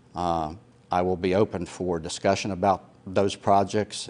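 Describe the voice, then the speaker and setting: In a monotone with flat intonation, a man speaks at a very deep, low pitch. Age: 60s. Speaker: retired police officer, political candidate. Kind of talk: candidate interview. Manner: halting, many fillers.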